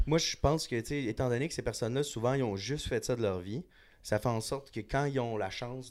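Very clean recording, silent background, and a man with an ordinary speaking voice. He talks at a fairly quick pace with ordinary pitch variation. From Montréal, Quebec. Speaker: bartender. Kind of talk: casual chat.

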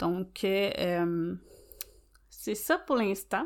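A woman in a Quebec accent, very slow, at medium pitch, on a very clean recording with a silent background. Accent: Québécois French. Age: 30s. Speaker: nail technician and podcast host. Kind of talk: solo podcast monologue. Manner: hesitant, many fillers.

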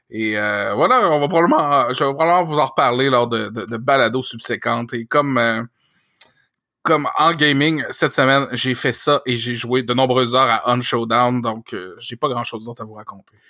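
At a moderate pace, a man speaks with a bright, sharp tone, medium pitch and ordinary pitch variation. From Quebec City. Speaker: podcast co-host. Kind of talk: casual chat.

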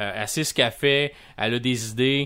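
In a Quebec accent, a man speaks at a fairly slow pace with a bright, sharp tone and fairly even intonation on a very clean recording with a silent background. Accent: Québécois French. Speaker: podcast host, video game reviewer. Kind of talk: casual chat and interview.

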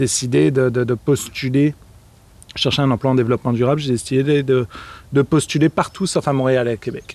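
Using an unremarkable speaking voice, a man of medium pitch talks at a fairly quick pace with ordinary pitch variation. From northern France. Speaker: sustainable development worker. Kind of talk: interview.

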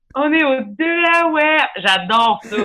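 Her speech has lively intonation, from a woman. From Quebec, Lanaudière countryside. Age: 30s. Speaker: comedian. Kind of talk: casual chat.

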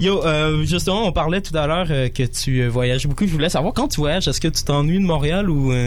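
A man with a Quebec accent at a fairly quick pace, fairly high in pitch, his loudness very even, with audible room echo and noticeable background noise. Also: ordinary pitch variation. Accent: Québécois French. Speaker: radio host. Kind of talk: radio show hosting. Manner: animated.

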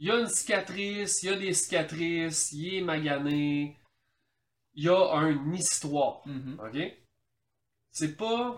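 A man's high voice in a Quebec accent, very slow, with ordinary pitch variation and long, frequent pauses. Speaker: podcast co-host. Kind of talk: casual chat.

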